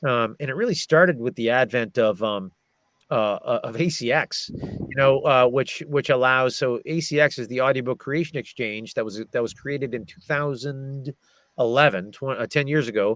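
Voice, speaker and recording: A man with an American accent in an ordinary speaking voice, medium in pitch with ordinary pitch variation, at a moderate pace, in a dry, close sound with no echo. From American, Massachusetts. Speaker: audiobook narrator and voice actor. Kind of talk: casual interview answer about audiobook industry.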